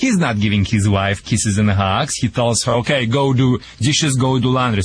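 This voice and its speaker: Noticeable background noise runs under a man talking with a Russian accent. He keeps a moderate pace and ordinary pitch variation. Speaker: dog trainer. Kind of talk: call-in advice show. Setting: remote live link.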